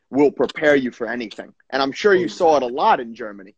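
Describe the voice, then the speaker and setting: Against a quiet background, a man speaks with lively intonation at a moderate pace in a dry sound with no echo. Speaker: podcast host, former footballer; podcast host. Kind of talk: casual interview. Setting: video call. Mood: warm, encouraging. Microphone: video call.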